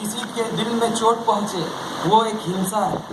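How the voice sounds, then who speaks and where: A man with a Bengali accent, high pitch and fairly even intonation, amid noticeable background noise and audible room echo. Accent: Bengali-accented Hindi. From Kolkata, West Bengal, India. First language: Bengali (speaking Hindi). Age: young. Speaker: speaker at a religious event. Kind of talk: public speech. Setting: temple premises with audience. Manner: halting.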